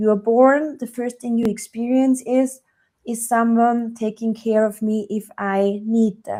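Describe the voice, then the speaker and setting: Speaking at a fairly slow pace, a woman with a German accent has a fairly high pitch and a dark, mellow tone. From Germany. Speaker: relationship coach. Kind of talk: podcast interview.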